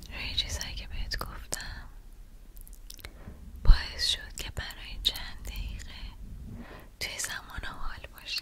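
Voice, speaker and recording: A soft-spoken woman whispers at a very slow pace with long, frequent pauses. Her loudness swings widely, and there is noticeable background noise. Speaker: ASMR creator. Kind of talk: guided mindfulness / relaxation talk. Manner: whispered, soft-spoken, slow.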